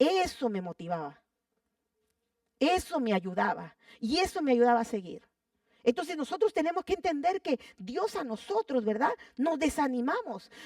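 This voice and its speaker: Dry, close sound with no echo, a woman's high pitch with very wide swings, a moderate pace and long, frequent pauses. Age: 80s+. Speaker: pastor. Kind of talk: sermon.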